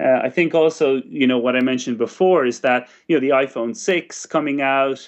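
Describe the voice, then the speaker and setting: A man with an Irish accent speaks at a moderate pace. His pitch is medium, with ordinary variation. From West of Ireland. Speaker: startup chairman. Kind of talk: interview.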